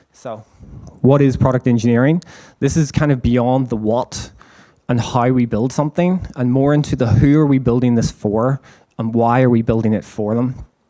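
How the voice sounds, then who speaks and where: A man talks at a moderate pace in a medium-pitched voice, his tone dark and mellow and his intonation fairly even. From Ireland. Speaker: engineering manager. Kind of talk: conference presentation. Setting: stage with live audience, livestreamed. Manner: casual, with frequent fillers.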